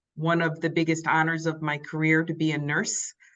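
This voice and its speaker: A woman's fairly low, bright, sharp voice with a slight New York accent, fairly slow, over a quiet background. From New York, Long Island. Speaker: nurse leader. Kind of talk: interview.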